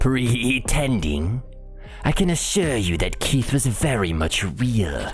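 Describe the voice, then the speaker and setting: Clear music plays in the background behind a put-on character voice of low-to-middle pitch at a fairly slow pace. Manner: smug, theatrical.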